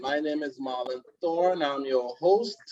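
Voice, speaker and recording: With a Trinidadian accent, a man speaks in a warm tone with ordinary pitch variation. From Trinidad and Tobago. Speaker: webinar host, card product presenter. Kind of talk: online webinar presentation. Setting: video conference call. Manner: warm, welcoming.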